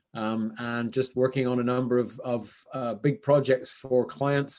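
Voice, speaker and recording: The recording is very clean, with a silent background, as a man speaks with a Canadian accent at a medium pitch. His pace is fairly slow and his intonation monotone and flat. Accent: Canadian, noticeable to British listeners. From western Canada, Vancouver. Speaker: business consultant, former CFO. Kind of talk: podcast interview. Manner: casual, with many fillers.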